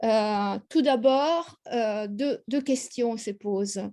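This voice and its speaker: The speaker has an Italian accent. The background is quiet. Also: woman. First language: Italian (speaking French). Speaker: history professor. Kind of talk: lecture. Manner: halting, many hesitations.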